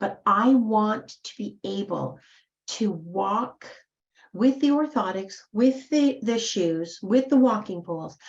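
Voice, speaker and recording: A woman speaks very slowly in a somewhat breathy, medium-pitched voice with lively intonation. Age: 70s. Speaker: motivational speaker. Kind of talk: motivational talk. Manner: animated.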